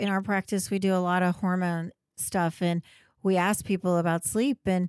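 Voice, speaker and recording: A woman speaks at a fairly slow pace in a plain, everyday voice, medium in pitch, with a very clean recording, a silent background, and a dry, close sound with no echo. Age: 50s. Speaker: podcast host, gynecologist. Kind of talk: interview conversation.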